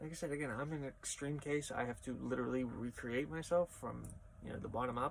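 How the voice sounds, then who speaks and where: This man mumbles at a medium pitch, with ordinary pitch variation. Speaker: crossdressing vlogger. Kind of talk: casual vlog monologue. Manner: trails off and mumbles; practiced feminine voice that keeps slipping.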